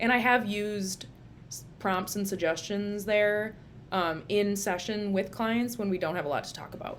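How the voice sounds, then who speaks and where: In a room with audible echo, a woman with an American accent talks at a moderate pace and medium pitch, her intonation fairly even but her loudness swinging widely. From Minnesota. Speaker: licensed social worker, therapist. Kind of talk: casual vlog book review. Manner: casual, filler-heavy.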